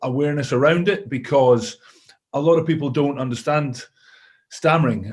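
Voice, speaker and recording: At a fairly quick pace, a man with a Scottish accent talks in a fairly high pitch with fairly even intonation. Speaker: former rugby player and coach. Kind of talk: interview answer.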